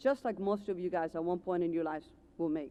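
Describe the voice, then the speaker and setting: Speaking with an Ecuadorian accent, a woman goes at a very fast pace. Her tone is dark and mellow, with ordinary pitch variation. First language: Spanish. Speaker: commencement speaker, car dealership manager. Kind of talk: commencement speech.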